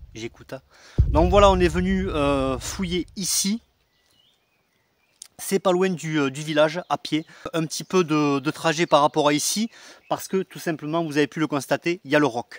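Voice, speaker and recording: A man speaks at a moderate pace with ordinary pitch variation and long, frequent pauses, recorded very cleanly against a silent background with a dry, close sound and no echo. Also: fairly high pitch for a man. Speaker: metal detecting explorer and video host. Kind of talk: casual vlog narration outdoors. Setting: outdoors in an oak forest on a mountain. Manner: hesitant, many fillers.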